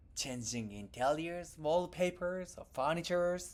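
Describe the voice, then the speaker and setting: The speaker has a Japanese accent. The pace is very slow. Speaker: tech company founder. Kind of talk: keynote presentation.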